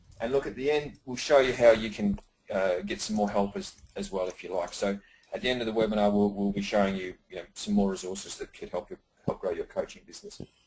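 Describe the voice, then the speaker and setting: An Australian accent marks this man's fairly low voice. He talks very fast with ordinary pitch variation. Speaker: business coach. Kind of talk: webinar presentation. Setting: live webinar. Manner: fast when excited; hesitant, many fillers.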